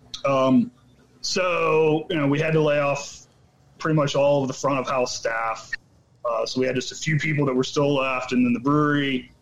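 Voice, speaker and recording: Against noticeable background noise, a man talks at a moderate pace and fairly high pitch. His intonation is fairly even and his loudness very even. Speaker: brewer. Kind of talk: casual interview chat.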